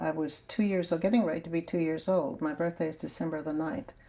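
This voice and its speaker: With an American accent, a woman speaks at a fairly quick pace and a fairly low pitch. Her tone is dark and mellow, with vocal fry. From US South, New Orleans, Louisiana. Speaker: grandmother telling her life story. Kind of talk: oral history interview. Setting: sun room at home.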